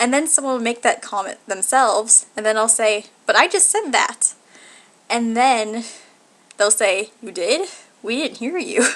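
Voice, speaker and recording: A woman with a fairly high pitch speaks at a fairly slow pace, her intonation lively. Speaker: video blogger. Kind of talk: casual vlog monologue. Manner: nervous at the start of videos.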